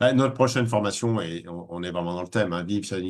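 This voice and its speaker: In an ordinary speaking voice, a man talks at a fairly quick pace and fairly low pitch, with ordinary pitch variation. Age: 60s. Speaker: spiritual teacher. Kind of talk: webinar talk. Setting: online webinar.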